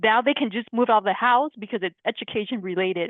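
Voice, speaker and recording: This woman speaks in a Lao accent. Her pitch is fairly high. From Laos-born, raised San Diego, US. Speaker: podcast guest. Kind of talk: casual chat.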